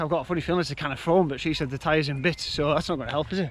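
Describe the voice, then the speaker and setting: Speaking at a very fast pace, the man has a Yorkshire accent. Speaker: vlogger, amateur triathlete. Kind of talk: casual vlog to camera.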